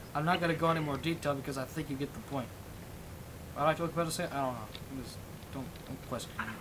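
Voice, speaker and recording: The speech comes at a very fast pace, broken by long, frequent pauses. Room echo is audible. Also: man, fairly high pitch for a man. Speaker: livestreamer and game server owner. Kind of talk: casual livestream chat. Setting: livestream with voice chat. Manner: rambling, hesitant with many fillers.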